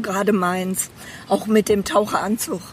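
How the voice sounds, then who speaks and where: Noticeable background noise under a woman speaking at a moderate pace in a fairly high voice. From Bedburg, western Germany (Rhineland). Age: 60s. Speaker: retired medical assistant, therapy client. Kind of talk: casual chat. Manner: hesitant, many fillers.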